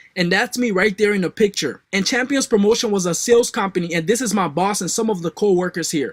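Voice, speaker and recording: This man talks very fast in a high voice, with a West African accent. The sound is dry and close, with no echo. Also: very clean recording, silent background. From West Africa, Liberia. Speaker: online marketing coach. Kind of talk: sales pitch.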